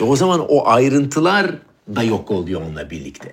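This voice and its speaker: Swinging very widely in pitch from a medium base, a man talks at a moderate pace with vocal fry. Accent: Swedish. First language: Swedish (speaking Turkish). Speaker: chef and show host. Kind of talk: casual conversation.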